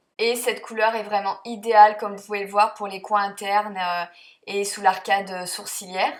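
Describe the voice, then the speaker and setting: Her loudness swings widely as a woman with a medium pitch speaks at a moderate pace in a monotone, flat intonation. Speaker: beauty vlogger. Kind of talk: makeup tutorial voice-over. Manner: hesitant, many fillers.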